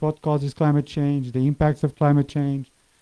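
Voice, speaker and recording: A man with a Portuguese accent speaks at a moderate pace and a fairly high pitch. His tone is dark and mellow, and the sound is dry and close with no echo. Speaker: climate scientist. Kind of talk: lecture.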